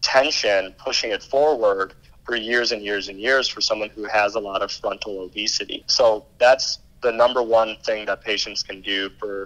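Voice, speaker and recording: At a moderate pace, a man talks at a medium pitch. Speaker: pain management doctor. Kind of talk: interview. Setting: at home. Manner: halting; talking quietly.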